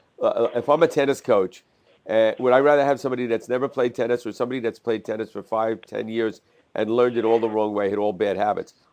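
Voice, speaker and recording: Very fast, fairly level speech from a man with a medium pitch. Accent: New Jersey. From New Jersey, Jersey City area. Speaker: coffee show host, interviewer. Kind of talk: interview. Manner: halting, many repetitions and fillers.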